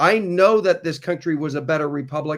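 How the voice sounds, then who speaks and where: Recorded very cleanly against a silent background, a man talks at a fairly quick pace with ordinary pitch variation. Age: 60s. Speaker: guest speaker on law and notices. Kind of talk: casual discussion. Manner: halting, repeats words.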